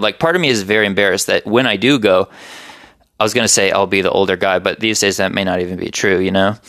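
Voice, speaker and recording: A man with an unremarkable speaking voice speaks at a fairly low pitch. His intonation stays fairly even. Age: 20s. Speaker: writer and podcaster. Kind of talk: casual chat. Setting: home recording with podcast mics.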